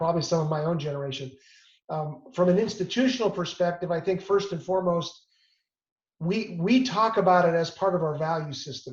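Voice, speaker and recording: Talking at a fairly quick pace, a man with a high pitch speaks in an American accent. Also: ordinary pitch variation. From US Midwest, suburban Detroit. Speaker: hospital system executive, physician. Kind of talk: interview answer.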